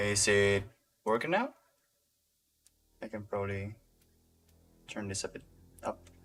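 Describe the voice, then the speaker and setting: A man speaks quietly and fairly slowly at a fairly low pitch, with long, frequent pauses. His intonation is monotone and flat, yet his loudness swings widely. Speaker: game level designer streaming. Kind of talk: live-stream tutorial commentary. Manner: halting, repeats words.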